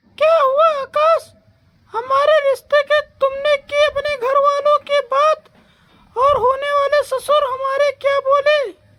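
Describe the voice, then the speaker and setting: An extremely high-pitched cartoonish character voice is heard. It moves at a fairly slow pace. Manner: bossy, teasing.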